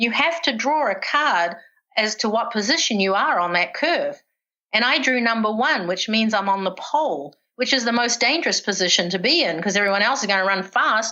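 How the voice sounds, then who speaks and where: In a New Zealand accent, a woman talks at a fairly quick pace with a fairly high pitch, lively intonation, a bright, sharp tone and very even loudness. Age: 60s. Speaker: retired professional distance runner. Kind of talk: podcast interview, personal storytelling.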